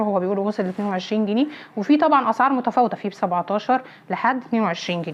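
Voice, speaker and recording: Noticeable background noise sits behind a woman's medium-pitched voice. She talks at a fairly quick pace with ordinary pitch variation. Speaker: home vlogger. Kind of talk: shopping haul vlog. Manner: animated.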